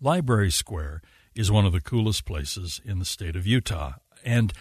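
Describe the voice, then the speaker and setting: A man's fairly low, somewhat breathy voice against a quiet background. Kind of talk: live radio host patter, thanking a guest and teasing the next segment before a break.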